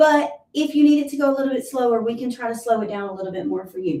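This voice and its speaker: A woman talks with ordinary pitch variation. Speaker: fitness instructor. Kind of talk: live workout class instruction. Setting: livestream at home. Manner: encouraging, conversational.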